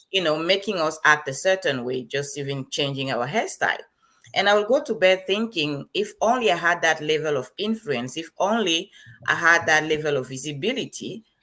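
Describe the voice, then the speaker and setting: A woman's very deep, low voice with a Liberian accent, bright and sharp in tone, with lively intonation at a moderate pace. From Cameroon (French-speaking side). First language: Bassa. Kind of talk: interview.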